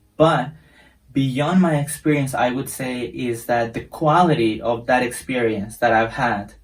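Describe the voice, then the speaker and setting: A man with a Spanish accent, somewhat breathy, at a fairly slow pace. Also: medium pitch for a man, ordinary pitch variation. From Costa Rica. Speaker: English teacher. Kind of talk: casual introduction to viewers. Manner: halting, some repetitions.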